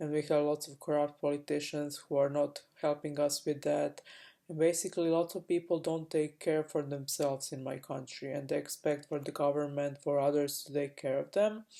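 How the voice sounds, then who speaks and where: A woman with a Croatian accent speaks in a very deep, low voice with a dark, mellow tone. Her intonation is monotone and flat at a moderate pace, on a very clean recording with a silent background. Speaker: spiritual coach. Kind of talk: personal vlog monologue. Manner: halting, many fillers.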